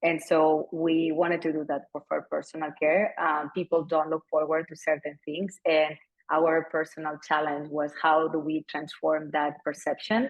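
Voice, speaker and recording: A woman with a Spanish accent speaks at a very deep, low pitch in a monotone, flat way. Her pace is moderate, with hardly any pauses. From Spain, Barcelona. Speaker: company founder and CEO. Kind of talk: fireside chat interview.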